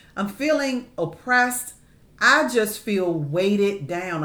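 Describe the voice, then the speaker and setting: The voice has a warm tone with very wide pitch swings. Room echo is audible. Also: woman. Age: 50s. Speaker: podcast host and therapist. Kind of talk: faith-based advice talk. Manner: warm, conversational.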